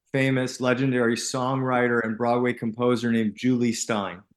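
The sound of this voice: At a moderate pace, a man speaks at medium pitch with little pitch movement.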